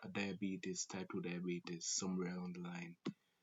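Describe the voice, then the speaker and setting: A man with a Jamaican accent. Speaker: call center sales agent. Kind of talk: casual talk to camera.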